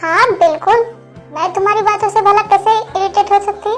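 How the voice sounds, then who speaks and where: A woman uses a put-on, squeaky character voice at an extremely high pitch and a fairly quick pace. Clear music plays in the background. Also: fairly even intonation. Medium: fan dub.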